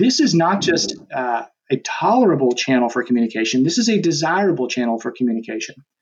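A man talks at a moderate pace in an ordinary speaking voice. His intonation is lively. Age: 40s. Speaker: digital marketing company executive. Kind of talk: podcast interview.

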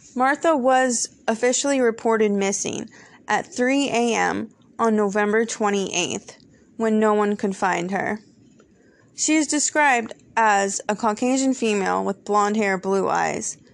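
A woman speaks at a fairly slow pace in a plain, everyday voice, her pitch fairly high with ordinary variation. Her loudness stays very even against a quiet background. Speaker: true crime podcast host. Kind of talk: scripted true-crime podcast narration, read as a steady, storytelling case summary. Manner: measured, earnest and conversational, with a serious storyteller's pacing; warm and friendly in intro and outro, thanking listeners.

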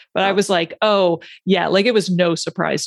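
A woman talks at a fairly quick pace with vocal fry and fairly even intonation. The sound is dry and close, with no echo. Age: 40s. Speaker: ADHD coach and podcaster. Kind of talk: casual interview chat.

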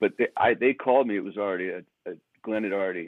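Speaking with an American accent in a plain, everyday voice, a man moves at a fairly quick pace with ordinary pitch variation, his sound dry and close with no echo over a quiet background. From United States. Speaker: rock lead guitarist. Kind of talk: casual interview. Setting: hotel room, remote call.

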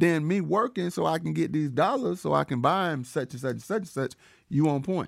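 A man with an American accent speaks in a normal speaking voice, fairly high in pitch, with lively intonation at a fairly quick pace. The recording is very clean, with a silent background. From Georgia, US South. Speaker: podcast co-host. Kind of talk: casual chat.

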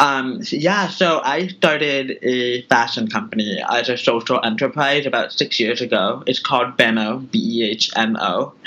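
A man with an American accent uses a normal speaking voice at medium pitch and a moderate pace. His intonation is lively, and he barely pauses. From California, Bay Area (Tracy). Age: 30s. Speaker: fashion entrepreneur. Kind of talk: interview.

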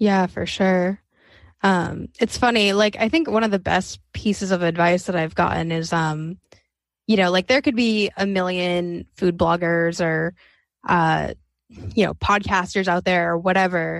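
A woman with an unremarkable speaking voice talks at a fairly slow pace, medium in pitch. Her intonation is fairly even against a quiet background. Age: 20s. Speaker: podcaster. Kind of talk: casual interview chat.

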